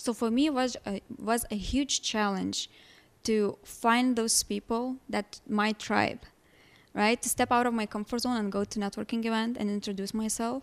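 A woman's fairly high voice with a Lithuanian accent, at a moderate pace with monotone, flat intonation, on a very clean recording with a silent background and a dry, close sound with no echo. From Lithuania, small village. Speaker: holistic life coach. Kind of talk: interview.

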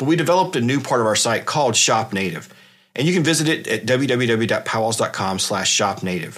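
With an American accent, a man in a normal speaking voice talks at a fairly quick pace, medium in pitch with lively intonation. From South Carolina, US South. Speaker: podcast host. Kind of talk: casual solo podcast talk. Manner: frequent fillers and restarts.

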